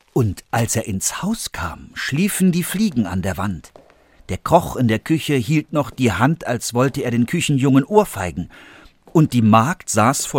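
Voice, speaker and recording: In a very clean recording with a silent background, a man talks at a fairly slow pace with very wide pitch swings. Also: dry, close sound with no echo. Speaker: actor reading fairy tale. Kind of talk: dramatic fairy-tale narration, read aloud with character voices. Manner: animated, expressive, varying pitch and pace for suspense and characters.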